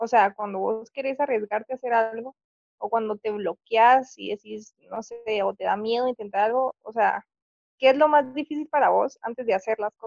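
Fairly high in pitch, a woman with an ordinary speaking voice talks at a moderate pace, the sound dry and close with no echo. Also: fairly even intonation. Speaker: university student, friend of host. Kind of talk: casual chat.

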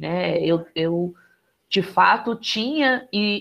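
Her intonation is lively. The woman's pitch sits at a medium level. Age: 20s. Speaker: photographer and entrepreneur. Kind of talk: casual chat.

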